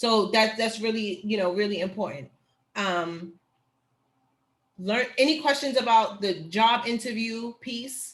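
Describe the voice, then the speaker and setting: A woman speaks with an animated tone at a fairly high pitch, somewhat breathy, with ordinary pitch variation. She leaves long, frequent pauses. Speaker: teacher educator. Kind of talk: online workshop. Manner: fast.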